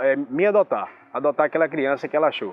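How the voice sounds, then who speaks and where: This is a man speaking. His pitch is fairly high. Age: 30s. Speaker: radio professional. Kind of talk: testimony.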